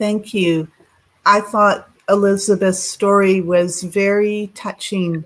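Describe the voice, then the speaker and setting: With a Canadian accent, a woman speaks very slowly in a medium pitch and monotone, flat intonation. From Canada. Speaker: children's charity advisor. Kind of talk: encouraging feedback. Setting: video call. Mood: warm, appreciative. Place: home room.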